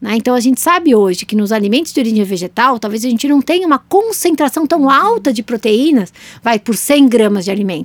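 A woman's high-pitched voice with very wide pitch swings, hardly any pauses, and a dry, close sound with no echo. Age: 40s. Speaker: nutritionist and podcast co-host. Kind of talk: casual educational chat.

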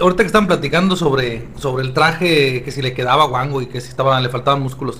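Noticeable background noise sits behind this man's voice. He has a fairly high pitch and speaks at a very fast pace. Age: 40s. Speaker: psychologist, comics expert. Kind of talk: casual chat. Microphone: poor audio quality.

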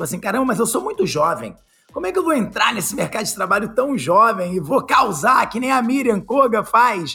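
Speaking at a fairly quick pace with lively intonation, the voice is raised and projected over music in the background. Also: man, high pitch for a man. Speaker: podcast host. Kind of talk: casual chat.

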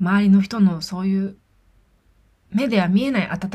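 A woman's somewhat breathy voice moves at a moderate pace with medium pitch and fairly even intonation. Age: 30s. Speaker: podcast host, hairdresser. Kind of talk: personal monologue. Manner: halting.

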